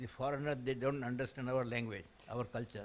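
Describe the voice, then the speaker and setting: A man at a medium pitch with an Indian accent and fairly even intonation. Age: 80s+. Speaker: scientist and education consultant. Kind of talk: audience question at conference. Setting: conference hall with audience.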